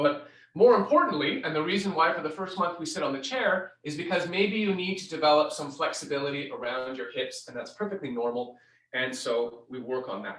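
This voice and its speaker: This man talks at a moderate pace. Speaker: scoliosis exercise instructor. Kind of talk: tutorial. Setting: live stream.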